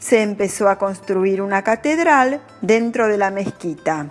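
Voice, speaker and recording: Over music in the background, a woman with a Latin American accent speaks at a very slow pace. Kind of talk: language-learning narration. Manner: slow, clear.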